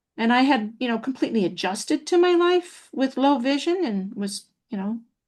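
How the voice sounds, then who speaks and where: A woman's somewhat breathy voice with very wide pitch swings, over a quiet background. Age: 60s. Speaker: happiness trainer and public speaker. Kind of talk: interview testimony. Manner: hesitant, many fillers.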